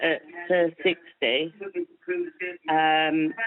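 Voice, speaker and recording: A woman is speaking. Her pitch sits fairly low. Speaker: caller, former hairdresser. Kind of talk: phone-in chat. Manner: halting.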